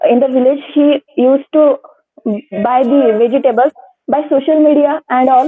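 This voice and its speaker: The speaker has a Marathi accent, a moderate pace, and fairly even intonation. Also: woman. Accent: Indian English, Marathi. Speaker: interview candidate. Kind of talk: practice lecturette. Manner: halting, many fillers.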